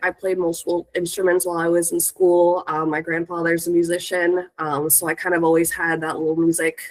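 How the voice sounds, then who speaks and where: Speaking with a West Coast accent, a woman has a fairly low pitch. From Northern California, Sacramento area. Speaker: music industry professional. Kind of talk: panel talk. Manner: hesitant with many fillers.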